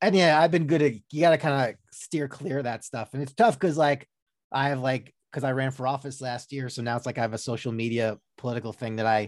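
A man with an American accent at a very fast pace, medium pitch, ordinary pitch variation, and a quiet background. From Long Island, New York. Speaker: podcast host. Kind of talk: casual interview chat.

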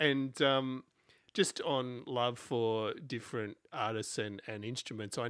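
Ordinary pitch variation marks a man's medium-pitched voice with an Australian accent. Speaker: podcast host. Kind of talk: interview.

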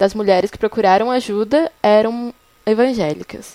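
An unremarkable speaking voice at a moderate pace, with ordinary pitch variation and a dry, close sound with no echo. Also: woman. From São Paulo, Brazil. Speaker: journalism student, faith project organizer. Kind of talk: casual chat.

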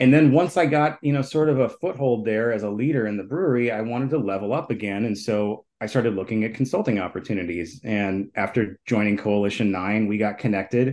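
A man with an American accent in a normal speaking voice, fairly quick and lively in intonation, over a quiet background. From Minneapolis, Minnesota. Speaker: brewery co-founder and entrepreneur. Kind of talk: interview.

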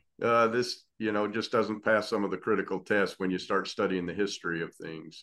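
A man with an unremarkable speaking voice, fairly low in pitch, at a moderate pace with hardly any pauses and fairly even intonation, over a quiet background. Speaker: podcast co-host. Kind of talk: interview conversation.

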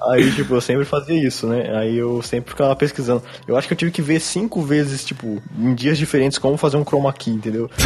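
With music in the background, a man at a medium pitch races along at a very fast pace with hardly any pauses and ordinary pitch variation. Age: 20s. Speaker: beatmaker and YouTuber. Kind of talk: casual chat. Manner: casual slangy speech.

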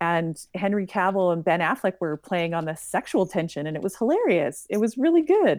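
A woman speaks at a medium pitch. The recording is very clean with a silent background and a dry, close sound with no echo. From outside the US (another country). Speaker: cosplayer, podcast guest. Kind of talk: casual chat. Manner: animated.

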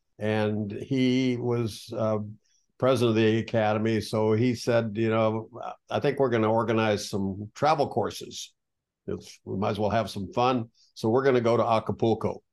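Monotone, flat speech at a moderate pace with an American accent, over a quiet background. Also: man, medium pitch for a man. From Texas, US. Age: 70s. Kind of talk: casual interview.

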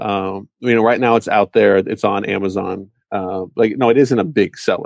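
This is an ordinary speaking voice, a man's at a fairly low pitch with ordinary pitch variation. He keeps a moderate pace over a quiet background. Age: 30s. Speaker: e-commerce entrepreneur and parent. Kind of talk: casual interview.

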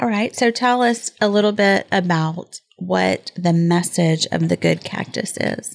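In an unremarkable speaking voice, a woman talks at a fairly slow pace with hardly any pauses, her pitch fairly low with ordinary variation. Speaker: podcast co-host. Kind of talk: casual chat.

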